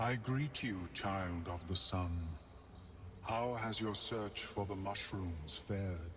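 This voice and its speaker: A man puts on a character voice at a fairly slow pace, his pitch fairly low, with clear background noise. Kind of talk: game voice acting. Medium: video game. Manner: formal, measured.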